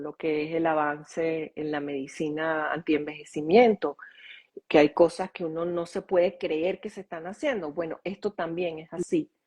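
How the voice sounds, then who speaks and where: Over a quiet background, a woman with an ordinary speaking voice talks at a moderate pace in a fairly low pitch. The sound is dry and close with no echo, her intonation fairly even, her loudness swinging widely. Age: 60s. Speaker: author and holistic school founder. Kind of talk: interview conversation.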